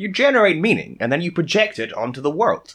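A man with an American accent talks at a very fast pace. His pitch is high and swings very widely. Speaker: podcast co-host.

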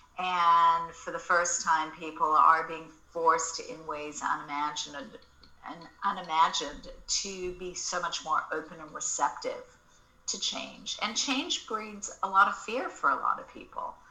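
A woman with an American accent speaks at a fairly slow pace in a fairly low pitch, with ordinary pitch variation, big swings in loudness and noticeable background noise. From Australia. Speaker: marketing agency founder and author. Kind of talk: casual interview chat.

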